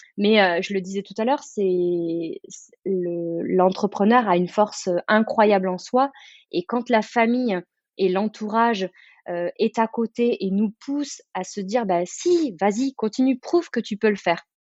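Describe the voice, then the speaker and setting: Speaking at a fairly slow pace, a woman uses an energetic tone at a medium pitch, with ordinary pitch variation and big swings in loudness. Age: 30s. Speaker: entrepreneur. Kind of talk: interview. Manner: hesitant, many fillers.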